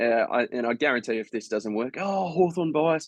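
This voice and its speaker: The Australian-accented man talks at a moderate pace with ordinary pitch variation, in a dry, close sound with no echo. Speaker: fantasy football content creator. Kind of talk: casual tutorial. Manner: halting, many fillers.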